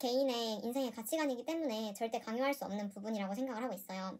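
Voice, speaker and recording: With ordinary pitch variation, a woman speaks at a very fast pace in a fairly high pitch. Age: 20s. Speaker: personal finance youtuber, office worker. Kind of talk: casual vlog monologue. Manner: hesitant, with fillers and self-corrections.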